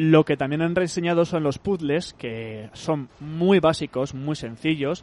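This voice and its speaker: A man speaks very slowly with hardly any pauses. His fairly high voice has ordinary pitch variation. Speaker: video game podcast host. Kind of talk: casual chat. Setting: remote call from home.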